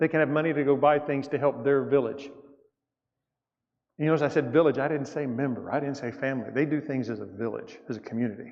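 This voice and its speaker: With a Southern US accent, a man talks at a very fast pace. His pitch is fairly high, with ordinary variation. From US South. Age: 60s. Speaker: church elder, guest mission speaker. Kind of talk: mission report talk in church. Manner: casual, conversational.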